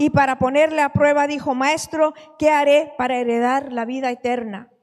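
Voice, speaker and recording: With noticeable background noise behind her, a woman talks at a moderate pace in a high voice with fairly even intonation. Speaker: preacher. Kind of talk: sermon.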